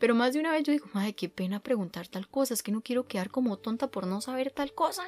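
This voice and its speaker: Over background music, the speaker talks at a very fast pace in a Costa Rican accent with lively intonation, the sound dry and close with no echo. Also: woman. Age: 20s. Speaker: podcast host. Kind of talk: casual monologue.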